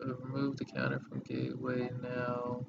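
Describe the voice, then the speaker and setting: Quiet, with noticeable background noise. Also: man. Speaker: gaming streamer. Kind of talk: live stream gameplay commentary.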